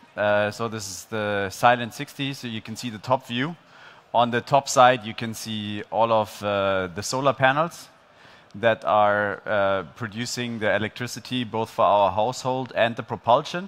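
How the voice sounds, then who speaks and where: A man speaks at a moderate pace with ordinary pitch variation, and his loudness swings widely. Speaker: presenter. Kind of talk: conference talk. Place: stage. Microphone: headset.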